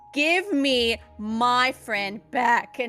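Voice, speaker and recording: A woman's put-on character voice, raspy and growling at a high pitch, with music in the background. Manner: growling, determined.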